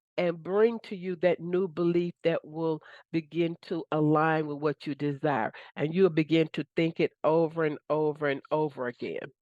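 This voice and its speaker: A woman with a plain, everyday voice speaks at a moderate pace, in a fairly low pitch with fairly even intonation. The sound is dry and close with no echo, over a quiet background. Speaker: manifestation coach. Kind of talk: motivational talk. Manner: casual.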